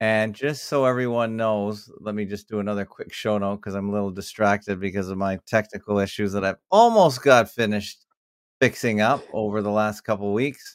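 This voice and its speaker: Over a very clean recording with a silent background, a man talks at a fairly quick pace in a fairly low pitch with fairly even intonation and an unremarkable speaking voice. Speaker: podcast host. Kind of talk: casual conversational interview.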